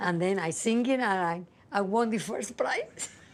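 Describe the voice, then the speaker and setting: A woman with a Cuban accent speaks with ordinary pitch variation. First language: Spanish. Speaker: singer-songwriter. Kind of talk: interview testimony. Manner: halting.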